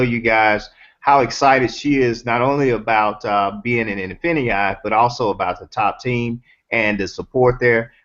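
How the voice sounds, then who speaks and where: A man with a slight Southern US accent, medium pitch, ordinary pitch variation and a moderate pace. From US South. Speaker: network marketing host. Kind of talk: casual chat. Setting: video call.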